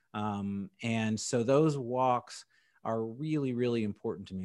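Using a normal speaking voice, a man talks at a medium pitch with ordinary pitch variation on a very clean recording with a silent background. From San Diego and Indianapolis, US. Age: 40s. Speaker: insurance agency owner. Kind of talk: podcast interview.

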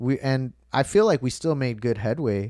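In a very clean recording with a silent background, a man with a plain, everyday voice and an American accent speaks at a medium pitch and moderate pace, with ordinary pitch variation. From Chicago, Illinois. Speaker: musician. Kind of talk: casual chat.

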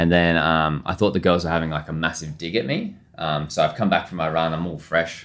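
A man with an Australian accent, very deep, low pitch and a very fast pace, in a very clean recording with a silent background. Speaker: chef. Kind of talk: podcast interview. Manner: casual, with many fillers.

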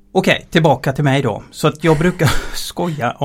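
A somewhat breathy voice at a moderate pace. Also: man. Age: 50s. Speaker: transport efficiency engineer. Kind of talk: interview. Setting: studio.

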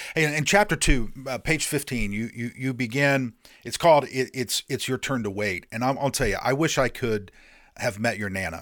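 Moderate pace, ordinary pitch variation and an American accent in a very clean recording over a silent background. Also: man, medium pitch for a man. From Indiana. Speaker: podcast host. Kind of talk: interview. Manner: halting, repeats words.

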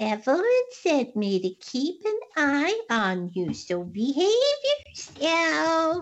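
A woman uses a put-on character voice pitched high, with very wide swings in pitch. She talks at a very slow pace. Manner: creepy.

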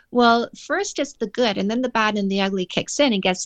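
With a Canadian accent and an unremarkable speaking voice, a woman talks at a moderate pace and a fairly high pitch with ordinary pitch variation, recorded dry and close with no echo against a quiet background. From Canada. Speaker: dating coach and author. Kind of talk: casual interview chat.

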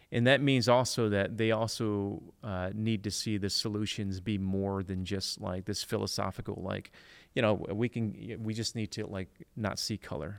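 A man with an American accent has a normal speaking voice, fairly low in pitch, with fairly even intonation at a moderate pace. The recording is very clean, with a silent background. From Detroit inner city, US. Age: 40s. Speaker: church planting director and author. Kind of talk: casual interview chat.

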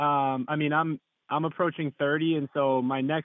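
This is a plain, everyday voice. It moves at a moderate pace. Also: man. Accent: American. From Massachusetts. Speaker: caller, electrician and landlord. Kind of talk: phone-in advice call. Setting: phone call.

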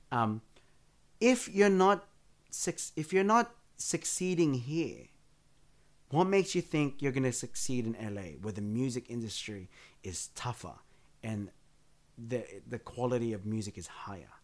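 A man at medium pitch with very wide pitch swings, a fairly slow pace and long, frequent pauses, in a very clean recording with a silent background. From Western Sydney, Australia. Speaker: bassist and musical director. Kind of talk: casual interview. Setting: home studio. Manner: halting.

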